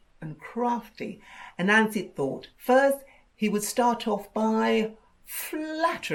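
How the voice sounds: The text is voiced aloud. It is delivered in a natural reading voice.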